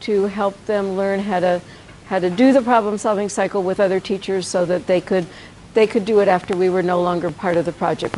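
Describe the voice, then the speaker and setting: A woman's medium-pitched voice comes through with noticeable background noise. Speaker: education professor. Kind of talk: lecture.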